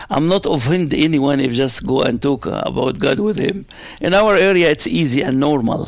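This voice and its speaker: Lively intonation in an Arabic accent. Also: man. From Middle East, Arabic-speaking. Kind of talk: interview. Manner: loud; fast.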